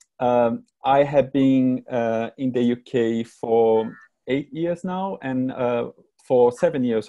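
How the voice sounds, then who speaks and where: In a Brazilian Portuguese accent, a dark, mellow voice speaks with ordinary pitch variation. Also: man. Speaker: creative director. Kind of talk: presentation talk. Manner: hesitant, many fillers.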